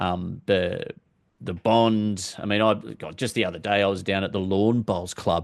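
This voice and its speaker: This man speaks with an Australian accent, his voice fairly low and his intonation fairly even. He goes at a fairly slow pace against a quiet background. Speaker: football fan vlogger. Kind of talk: casual monologue. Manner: hesitant, with fillers.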